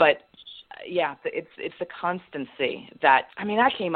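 A woman talks with lively intonation. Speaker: business consultant. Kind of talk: interview conversation.

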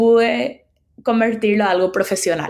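On a very clean recording with a silent background, a woman speaks in an unremarkable speaking voice. Her pitch is fairly high and her pace fairly slow. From Paraguay. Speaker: UX researcher. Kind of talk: interview.

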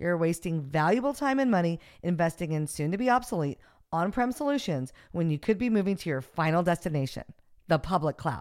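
A fairly low-pitched woman's voice, animated in tone with very wide pitch swings and a fairly quick pace, on a very clean recording with a silent background. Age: 50s. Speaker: podcast host. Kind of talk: interview; scripted narration.

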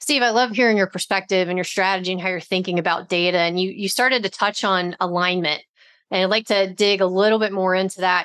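An unremarkable speaking voice talks at a fairly quick pace with fairly even intonation over a quiet background. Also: woman. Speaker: podcast co-host. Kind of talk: casual interview chat.

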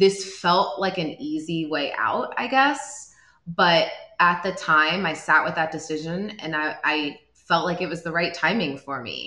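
Here is a woman with an unremarkable speaking voice and a fairly low pitch. She talks at a fairly slow pace with lively intonation. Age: 30s. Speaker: company founder and CEO. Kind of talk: interview.

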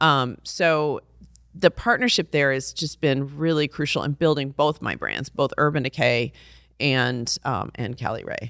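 A woman with an American accent speaks at a fairly slow pace in a very deep, low voice with ordinary pitch variation, on a very clean recording with a silent background and a dry, close sound with no echo. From Texas (Fort Worth), high school in Brussels. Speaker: beauty brand founder. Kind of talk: interview.

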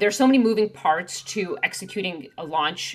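In an ordinary speaking voice, a woman talks at a fairly brisk speed. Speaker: podcast host. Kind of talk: casual interview.

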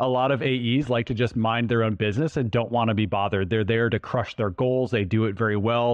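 In a normal speaking voice, the speaker moves at a fairly quick pace with hardly any pauses, fairly even intonation and very even loudness. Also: man. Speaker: co-host, sales expert. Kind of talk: casual interview chat.

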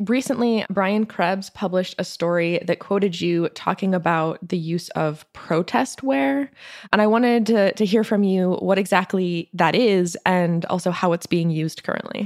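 A woman talks in an unremarkable speaking voice at medium pitch, with ordinary pitch variation and a moderate pace. Her loudness stays very even, and she hardly pauses. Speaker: podcast co-host. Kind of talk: podcast interview.

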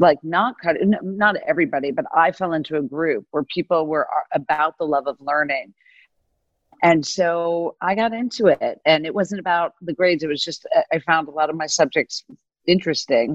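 A plain, everyday voice from a woman with an American accent, fairly low in pitch, with ordinary pitch variation and a moderate pace. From US South. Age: 50s. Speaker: venture capital investor. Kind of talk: interview.

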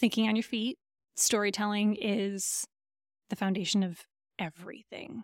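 A woman at medium pitch speaks at a moderate pace with long, frequent pauses, in a dry, close sound with no echo on a very clean recording with a silent background. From Michigan, Lansing. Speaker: software company CEO. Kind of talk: interview conversation. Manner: animated.

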